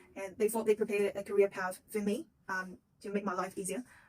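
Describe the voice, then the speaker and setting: The voice is somewhat breathy, with a Chinese accent. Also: woman. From China. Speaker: psychic intern and video blogger. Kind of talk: casual vlog introduction. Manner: halting, many fillers.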